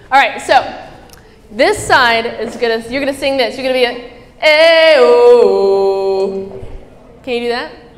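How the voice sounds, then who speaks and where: With a high pitch, an animated tone and lively intonation, a woman speaks at a fairly slow pace with long, frequent pauses and big swings in loudness, amid noticeable background noise and audible room echo. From Middle East. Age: 20s. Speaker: motivational speaker, athlete. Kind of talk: motivational talk to live audience.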